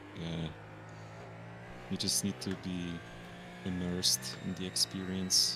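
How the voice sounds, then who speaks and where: Speaking very slowly with long, frequent pauses, a man uses a very deep, low pitch and lively intonation. His tone is bright and sharp, and he has a non-native accent. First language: not English. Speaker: sim racing teammate. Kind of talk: casual chat.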